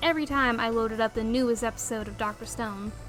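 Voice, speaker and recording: A woman with a Southern US accent talks at a fairly quick pace over noticeable background noise. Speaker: anime reviewer. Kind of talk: scripted review narration. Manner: animated.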